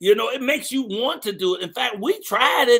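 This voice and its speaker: An animated man speaks in an extremely high pitch with a bright, sharp tone and a raised, projected voice. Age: 60s. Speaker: morning show host. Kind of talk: live show hosting, casual chat. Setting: online live stream with studio guests.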